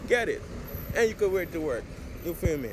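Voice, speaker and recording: Noticeable background noise sits behind a man who talks at a very fast pace with a high pitch, the sound dry with no echo. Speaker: vlogger. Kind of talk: casual vlog chat. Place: street. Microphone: phone near.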